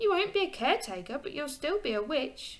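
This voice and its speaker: A put-on character voice at a fairly quick pace, full of very wide pitch swings. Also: woman. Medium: read story. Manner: thoughtful, calm.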